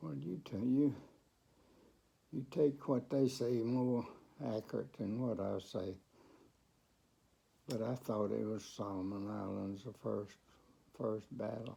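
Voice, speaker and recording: A man with a fairly low pitch speaks at a very slow pace with long, frequent pauses. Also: ordinary pitch variation. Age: 80s+. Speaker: World War II Marine veteran. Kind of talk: interview answer.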